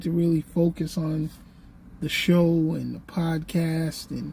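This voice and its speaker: A woman is speaking. Her pace is very slow. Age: 60s. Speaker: YouTuber and podcaster. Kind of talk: casual vlog monologue. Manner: halting, many fillers.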